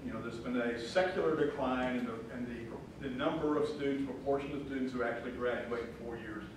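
A man talks at a fairly quick pace with strong room echo and light background noise. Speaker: guest lecturer. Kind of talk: lecture. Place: classroom.

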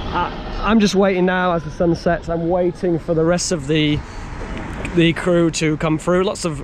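This man has a high pitch and fairly even intonation, speaking at a fairly slow pace. Noticeable background noise sits under a dry sound with no echo. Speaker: travel vlogger. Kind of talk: casual vlog chat. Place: street. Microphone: phone near.

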